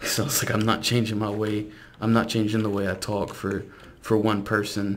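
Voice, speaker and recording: A man speaks with a fairly low pitch and flat, monotone intonation. Audible room echo and noticeable background noise are present. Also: moderate pace. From South Louisiana. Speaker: gaming YouTuber. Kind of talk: casual gameplay commentary.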